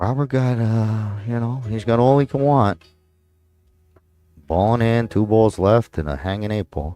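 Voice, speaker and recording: A man with a New York accent and a dark, mellow tone speaks at a fairly slow pace with long, frequent pauses, the sound dry and close with no echo. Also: medium pitch for a man, ordinary pitch variation. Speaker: pool commentator. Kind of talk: live commentary. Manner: casual, halting with fillers.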